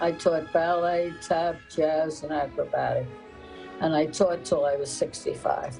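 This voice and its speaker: In an American accent, someone talks at a fairly slow pace with music in the background. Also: woman. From South Jersey, Camden. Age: 80s+. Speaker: retired dance teacher. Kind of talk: interview.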